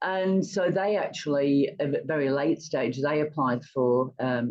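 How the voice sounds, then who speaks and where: A woman with an English accent speaks in a very deep, low pitch. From England. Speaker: retired entrepreneur and charity fundraiser. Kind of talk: interview.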